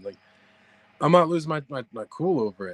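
A man's very fast, lively-intoned speech in a dry, close sound with no echo. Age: 30s. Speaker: psychic medium. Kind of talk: casual interview chat.

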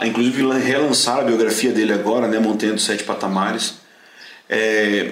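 Over noticeable background noise and audible room echo, a man with medium pitch talks at a moderate pace in a flat monotone, keeping his loudness very even. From southern Brazil. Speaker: pastor and Bible course teacher. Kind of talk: casual chat. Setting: at the guests' home.

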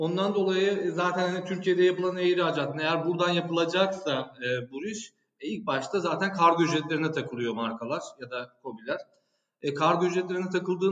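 The man speaking has a high pitch. He goes at a moderate pace with ordinary pitch variation. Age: 30s. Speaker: e-commerce director. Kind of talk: casual interview.

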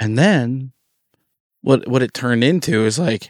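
A lively, animated voice at a moderate pace, very cleanly recorded against a silent background, with a dry, close sound and no echo. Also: man. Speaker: podcast guest sharing testimony. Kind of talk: casual chat. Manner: animated, joking.

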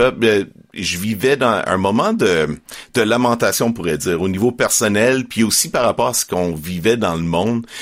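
In a very clean recording with a silent background, a man with a normal speaking voice talks at a fairly slow pace, his fairly low pitch moving with ordinary pitch variation. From Quebec, Estrie. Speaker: Bible narrator and podcast co-producer. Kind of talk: interview.

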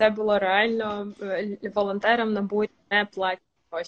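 Flat, monotone intonation from a woman pitched in the medium range. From Ukraine, Kherson. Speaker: communications strategist. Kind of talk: casual chat. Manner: hesitant with fillers.

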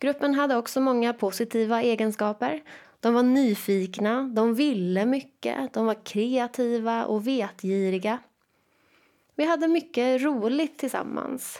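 Talking at a fairly slow pace with very even loudness, a woman with an ordinary speaking voice has a fairly high pitch and ordinary pitch variation, in a very clean recording with a silent background. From Sweden, Jönköping. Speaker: teacher and education coach. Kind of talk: solo podcast monologue.

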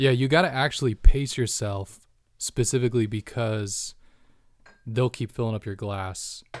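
A man with a plain, everyday voice at medium pitch, ordinary pitch variation, big swings in loudness and a moderate pace, on a very clean recording with a silent background. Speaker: designer. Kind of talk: casual chat. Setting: studio.

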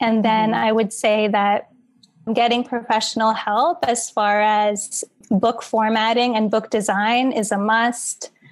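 A woman's plain, everyday voice in an American accent, fairly high in pitch, with fairly even intonation at a fairly slow pace. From New York, Queens. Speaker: dancer and author. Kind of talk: interview.

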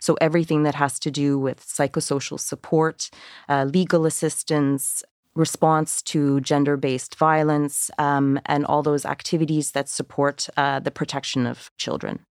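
A woman with a Canadian accent and a very deep, low pitch speaks at a moderate pace in a monotone, flat intonation. The sound is dry and close with no echo, on a very clean recording with a silent background. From Canada. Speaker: UN refugee agency official. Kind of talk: podcast interview.

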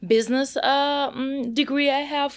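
A woman with a Russian accent speaks at a fairly slow pace on a very clean recording with a silent background. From Russia, Moscow. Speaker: product manager in logistics tech. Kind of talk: podcast interview.

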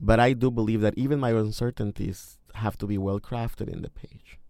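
He speaks at a moderate pace with a Mexican accent and a fairly low pitch. His tone is dark and mellow, the intonation monotone and flat. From Mexico. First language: Spanish. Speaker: poet and high school English teacher. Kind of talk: interview. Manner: hesitant, with fillers.

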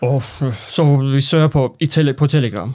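A man speaks with a Persian accent at a fairly slow pace. His pitch is fairly high, with ordinary pitch variation. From Iran. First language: Persian (speaking Danish). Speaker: foreign doctor awaiting authorization. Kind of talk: interview. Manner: halting.

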